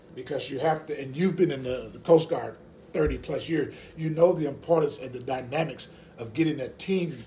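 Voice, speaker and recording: A man with a Mississippi accent talks at a fairly quick pace in a fairly high, somewhat breathy voice with a dark, mellow tone and fairly even intonation, amid audible room echo. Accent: US Southern (Mississippi). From rural Mississippi. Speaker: associate pastor, Navy veteran. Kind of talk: casual interview about faith.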